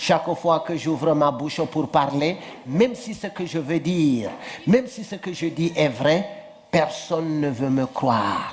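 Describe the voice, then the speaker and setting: Through noticeable background noise, a man with a fairly high pitch talks at a fairly slow pace. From northern Cameroon. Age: 40s. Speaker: storyteller, comedian. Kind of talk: comic folk tale told on stage.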